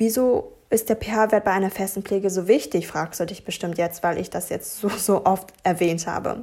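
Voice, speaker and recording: A woman speaks at a moderate pace with hardly any pauses. Her pitch sits in the medium range, and her intonation stays fairly even. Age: 20s. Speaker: podcast host and blogger. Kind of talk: solo podcast, reading from notes. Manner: hesitant with fillers.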